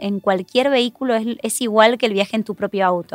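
On a very clean recording with a silent background and a dry, close sound with no echo, a woman with an Argentine accent talks at a fairly quick pace in a fairly high pitch with ordinary pitch variation. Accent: Argentine Spanish (Rioplatense). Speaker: road safety educator. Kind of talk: interview.

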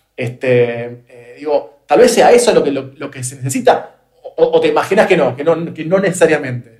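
A man speaks in a Rioplatense accent with ordinary pitch variation. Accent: Argentine Rioplatense Spanish. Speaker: podcast host. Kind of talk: interview conversation. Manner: halting, many repetitions.

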